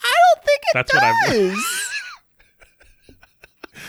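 A squeaky, put-on character voice at an extremely high pitch, delivered at a fairly slow pace. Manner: dramatic, theatrical.

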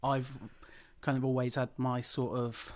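A man at a medium pitch and moderate pace with a Midlands accent, in a very clean recording with a silent background. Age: 30s. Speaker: wrestling podcast host. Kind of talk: casual chat.

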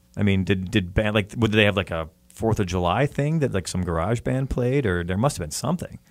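A man has a plain, everyday voice with a fairly low pitch and lively intonation. He talks at a fairly quick pace with hardly any pauses on a very clean recording with a silent background. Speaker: radio host. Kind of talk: interview. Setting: studio. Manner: warm and conversational.

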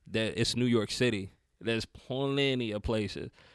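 The recording is very clean with a silent background as a man at a medium pitch talks in a flat, monotone intonation. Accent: Southern US. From US South, North Carolina. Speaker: rapper. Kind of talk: casual chat. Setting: studio.

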